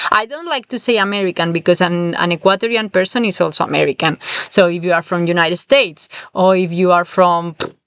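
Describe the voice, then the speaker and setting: Speaking at a very fast pace with a strong Spanish accent, a woman uses a fairly low pitch and ordinary pitch variation. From southern Spain. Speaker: language teacher. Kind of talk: podcast lesson. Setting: in a camper van.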